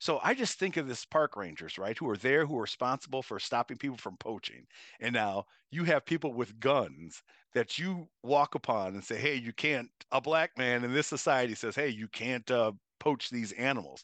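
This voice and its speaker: An unremarkable speaking voice from a man with an American accent, medium pitch, lively intonation and moderate pace, in a dry, close sound with no echo and a quiet background. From Chicago. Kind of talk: radio interview.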